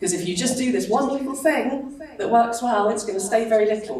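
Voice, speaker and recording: Fairly quick and animated in tone, a woman speaks with lively intonation amid noticeable background noise and audible room echo. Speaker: digital marketing speaker. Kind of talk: conference talk. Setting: stage with audience.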